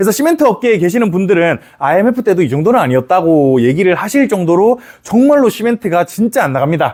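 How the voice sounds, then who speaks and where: A man at a very fast pace with very wide pitch swings, amid noticeable background noise. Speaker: economics lecturer. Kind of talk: lecture. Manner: casual, conversational.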